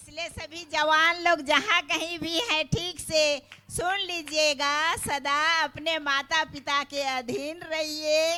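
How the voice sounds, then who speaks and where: Her raised, projected voice has a bright, sharp tone. The woman's pitch is extremely high. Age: 70s. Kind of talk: thank-you speech.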